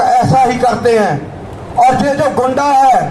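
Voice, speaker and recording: Against noticeable background noise and audible room echo, a man with a Punjabi accent speaks at an extremely high pitch. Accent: Punjabi-accented Hindi. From Punjab, India. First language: Punjabi (speaking Hindi). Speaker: protest speaker. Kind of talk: protest speech. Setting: outdoor protest rally. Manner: impassioned.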